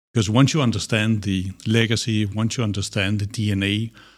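A man with a fairly low pitch speaks at a moderate pace in a very clean recording with a silent background. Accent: Danish. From Denmark. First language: Danish. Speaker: business strategist. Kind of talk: interview.

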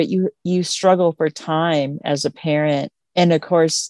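Speaking with an American accent, a woman has a dark, mellow tone. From western Montana (Missoula area). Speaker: fashion designer and beadworker. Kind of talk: interview monologue.

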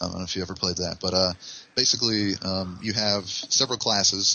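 At a fairly quick pace, a man talks in a very deep, low voice. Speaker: game designer. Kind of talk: casual interview chat. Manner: fast talker.

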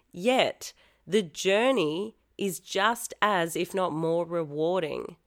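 A woman's medium-pitched voice with an Australian accent and lively intonation, on a very clean recording with a silent background. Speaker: pole fitness studio founder and podcast host. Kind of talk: casual solo podcast talk.

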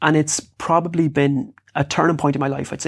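In a western Irish accent, the speaker talks at a fairly quick pace on a very clean recording with a silent background. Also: man. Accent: rural west of Ireland. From Ireland, rural South Sligo. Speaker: fitness and lifestyle coach, author. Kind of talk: interview.

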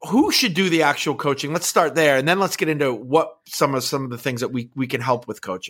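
Using an ordinary speaking voice, a man with an American accent talks at a fairly quick pace with fairly high pitch and lively intonation. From northwestern Pennsylvania, US. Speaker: podcast host and call center CEO. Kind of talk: casual interview chat. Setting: live stream.

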